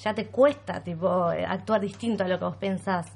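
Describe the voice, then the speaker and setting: At a moderate pace and with ordinary pitch variation, a woman talks in a plain, everyday voice. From Argentina, Bariloche. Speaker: vegan content creator. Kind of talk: casual chat.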